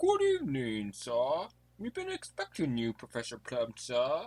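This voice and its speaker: A man's put-on character voice at a moderate pace, medium in pitch. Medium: audio drama. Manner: formal, deferential.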